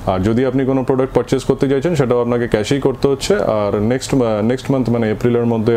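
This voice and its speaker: Light background noise is present. A man speaks with fairly even intonation. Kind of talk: interview answer. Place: office. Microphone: lapel.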